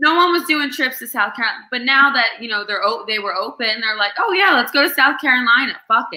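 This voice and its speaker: The speaker has a slight New Jersey accent and an animated tone. The intonation is lively and the pace fairly quick. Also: woman. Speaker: restaurant manager. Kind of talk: casual chat.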